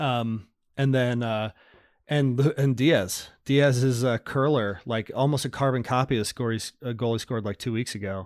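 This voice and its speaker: In a very clean recording with a silent background and a dry, close sound with no echo, a man with a plain, everyday voice speaks at a moderate pace and medium pitch with fairly even intonation. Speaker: podcast co-host.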